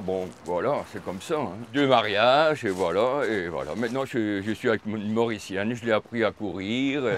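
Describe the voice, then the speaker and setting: A man talks at a moderate pace with ordinary pitch variation. There is noticeable background noise. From Belgium, Hainaut (Péruwelz). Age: 70s. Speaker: amateur runner. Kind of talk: casual interview. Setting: outdoors in a park. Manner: talkative, animated.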